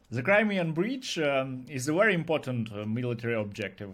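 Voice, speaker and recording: A man with a Ukrainian accent and lively intonation. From Ukraine. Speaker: YouTube blogger. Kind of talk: interview. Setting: video call. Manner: halting.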